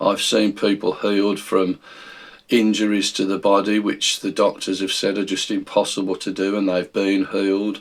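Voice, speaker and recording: A man speaks in a monotone with flat intonation, at a fairly low pitch and a moderate pace. He has a British accent. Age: 60s. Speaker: Bible teacher. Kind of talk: video Bible study talk. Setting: recorded video.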